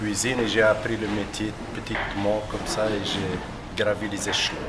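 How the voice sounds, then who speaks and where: Noticeable background noise and audible room echo come through the recording. A man speaks at a moderate pace with fairly low pitch. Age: 60s. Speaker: chef and cooking trainer. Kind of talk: interview.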